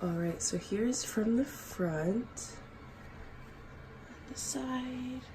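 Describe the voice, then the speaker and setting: Her pitch fairly high, a woman speaks very slowly with lively intonation and long, frequent pauses, and the room echo is audible. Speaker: vlogger. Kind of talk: casual vlog talk. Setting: doctor's office. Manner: quiet.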